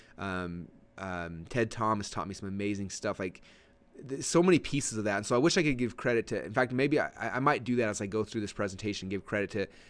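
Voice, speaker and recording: A man's fairly low voice at a very fast pace, with lively intonation. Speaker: online marketing trainer. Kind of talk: training webinar. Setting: webinar. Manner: many filler words.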